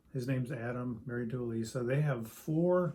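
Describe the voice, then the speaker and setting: A man with an American accent talks at a fairly slow pace, with audible room echo. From US Midwest (Springfield, Illinois). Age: 60s. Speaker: pastor. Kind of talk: interview. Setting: church study. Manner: halting, with many fillers and repeats.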